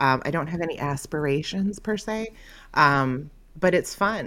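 A woman speaks in a normal speaking voice. Her pitch sits fairly low, with ordinary pitch variation. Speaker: content creator. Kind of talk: casual chat. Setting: video call.

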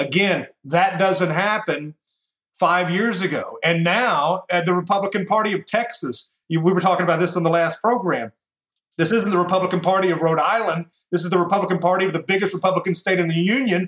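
Speaking at a fairly quick pace in a Southern US accent, a man with a high-pitched voice keeps his loudness very even and his intonation fairly even. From US South, Tennessee. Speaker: radio host. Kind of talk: interview.

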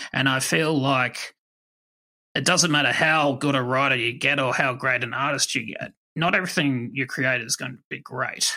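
At a moderate pace, a man with an Australian accent speaks at medium pitch in a bright, sharp tone with fairly even intonation. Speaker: podcast host. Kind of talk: casual chat.

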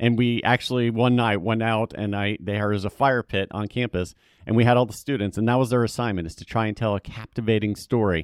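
With a plain, everyday voice and an American accent, a man speaks at a fairly quick pace and medium pitch, with fairly even intonation, hardly any pauses and a dry, close sound with no echo. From US South. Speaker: communications executive, former TV news reporter. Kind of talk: interview.

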